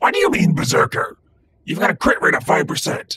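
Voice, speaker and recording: Putting on a raspy character voice, a man speaks at a fairly quick pace in a dry, close sound with no echo. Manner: excited, manic.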